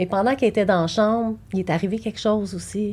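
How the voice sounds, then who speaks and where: A woman speaks at a fairly quick pace with fairly even intonation. Her tone is dark and mellow, at a medium pitch. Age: 40s. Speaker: bereaved mother. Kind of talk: personal testimony. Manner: halting.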